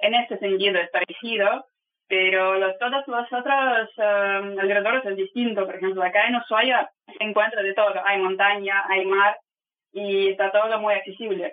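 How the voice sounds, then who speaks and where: This woman's pitch is medium and her pace moderate. She keeps a fairly even intonation throughout. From Russia, Saint Petersburg. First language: Russian (speaking Spanish). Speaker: travel guide on ships. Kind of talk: interview. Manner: halting.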